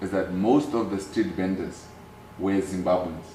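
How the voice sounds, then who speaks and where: A man with a Namibian accent at a moderate pace, fairly low in pitch with ordinary pitch variation, amid noticeable background noise and audible room echo. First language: Oshiwambo. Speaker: activist and businessman. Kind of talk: interview.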